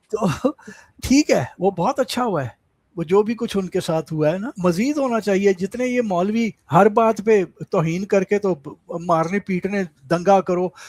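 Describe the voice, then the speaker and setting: Heard in a dry, close sound with no echo, a man speaks at a high pitch with ordinary pitch variation. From Pakistan, Lahore (Punjab). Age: 70s. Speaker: writer and commentator on Pakistan. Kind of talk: interview.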